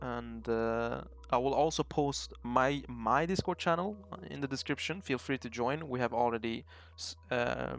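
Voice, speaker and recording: Music plays in the background as a man speaks with a non-native accent. His pace is fairly slow. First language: not English. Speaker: trading YouTuber. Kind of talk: casual tutorial talk. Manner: halting, many fillers.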